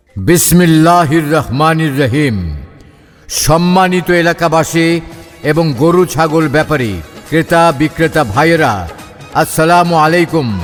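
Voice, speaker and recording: A man speaks at a fairly high pitch with ordinary pitch variation. His loudness stays very even, and music plays in the background. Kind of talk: loudspeaker market announcement. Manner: loud, energetic.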